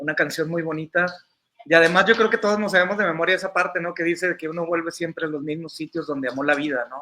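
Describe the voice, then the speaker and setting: A man speaking at a high pitch. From northern Mexico, Coahuila (Monclova/Saltillo). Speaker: entertainment journalist. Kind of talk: casual interview conversation.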